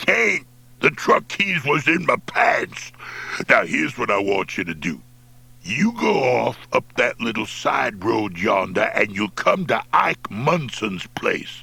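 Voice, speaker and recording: A gruff, put-on character voice from a man, medium in pitch, at a fairly slow pace. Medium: read story. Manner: gruff, cussing, folksy.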